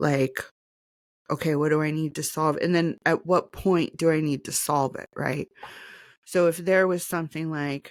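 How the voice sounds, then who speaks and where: On a very clean recording with a silent background, a woman speaks in a shaky, very deep, low pitch with monotone, flat intonation. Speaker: podcaster. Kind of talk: casual personal podcast talk.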